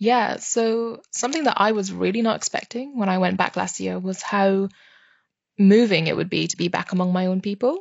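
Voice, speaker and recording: A woman with a British accent speaks at a medium pitch and moderate pace, her pitch varying in an ordinary way. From UK (moved from Myanmar at five). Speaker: PhD researcher. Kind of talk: casual chat.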